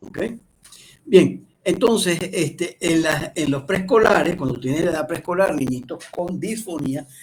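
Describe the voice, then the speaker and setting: Talking at a fairly slow pace, a man uses a high pitch with ordinary pitch variation. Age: 60s. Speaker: speech pathology lecturer. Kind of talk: lecture. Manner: hesitant, many fillers and restarts.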